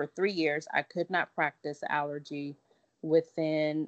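A woman with an American accent has an ordinary speaking voice, fairly low in pitch and fairly slow in pace. The sound is dry and close with no echo, over a quiet background. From US South, Lake Charles, Louisiana. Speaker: allergist and immunologist. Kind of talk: interview conversation.

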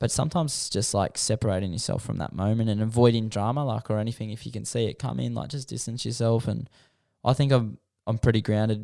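A man talks at a very fast pace in a medium pitch, his tone dark and mellow and his intonation fairly even, on a very clean recording with a silent background. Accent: Australian. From Western Sydney, Australia. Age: 20s. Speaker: pro scooter rider. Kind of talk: casual chat.

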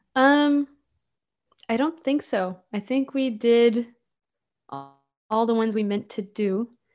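In an Acadian accent, a woman with a fairly high pitch speaks at a very slow pace, with long, frequent pauses. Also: ordinary pitch variation. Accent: Acadian Canadian English. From Acadian New Brunswick, near Moncton. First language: French (Acadian). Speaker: folk musician. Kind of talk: casual interview chat.

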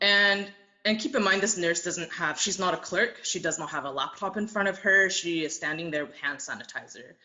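A woman with a Canadian accent has an unremarkable speaking voice at a medium pitch. She talks at a fairly quick pace with ordinary pitch variation. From Taiwan, moved to Canada as a child. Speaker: welder. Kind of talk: interview.

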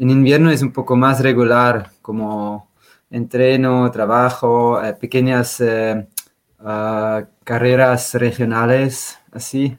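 A man speaks with a Swiss German accent at a very slow pace. His intonation is monotone and flat. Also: medium pitch for a man. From Switzerland, German-speaking. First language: Swiss German (speaking Spanish). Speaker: trail runner and glaciologist. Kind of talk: interview.

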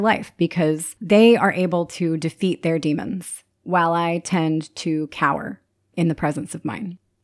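In a plain, everyday voice, a woman speaks at a moderate pace with fairly low pitch and ordinary pitch variation, in a dry, close sound with no echo. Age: 30s. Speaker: podcast host. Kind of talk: solo podcast monologue. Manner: upbeat, frequent laughter.

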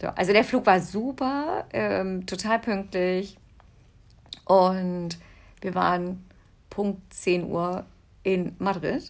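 A woman speaks at a very slow pace with ordinary pitch variation and long, frequent pauses. The recording is very clean, with a silent background. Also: medium pitch for a woman. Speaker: podcast co-host, mother. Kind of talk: casual chat.

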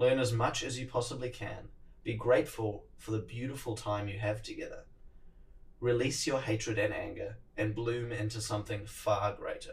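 Somewhat breathy, a man with a New Zealand accent speaks at a moderate pace in a medium pitch with fairly even intonation. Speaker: podcast host. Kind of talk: solo monologue podcast. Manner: casual, conversational.

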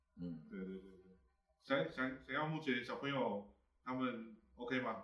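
A man talks at a fairly slow pace, his pitch varying in an ordinary way, with noticeable background noise behind him. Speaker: livestream host. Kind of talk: casual panel talk.

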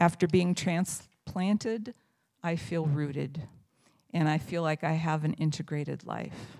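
A woman's fairly low, dark and mellow voice in an American accent, with fairly even intonation at a moderate pace on a very clean recording with a silent background. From US Midwest, Indiana. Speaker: lay church speaker. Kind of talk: sermon.

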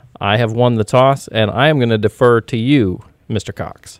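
In a dry, close recording with no echo, a man talks fairly slowly in a plain, everyday voice at a medium pitch. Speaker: podcast host. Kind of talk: casual podcast chat. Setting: in studio while cohost calls in.

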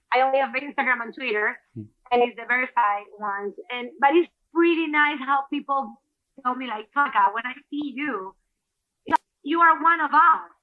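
A woman with a Spanish accent speaks in a high pitch, with big swings in loudness. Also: ordinary pitch variation, moderate pace. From Ecuador. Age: 40s. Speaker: former TV anchor and athlete. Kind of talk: casual interview. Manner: halting.

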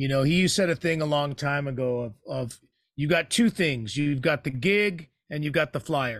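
A man with an American accent uses a normal speaking voice at a moderate pace, pitched fairly high with ordinary pitch variation. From San Francisco Bay Area, California. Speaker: musician. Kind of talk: interview. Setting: video call.

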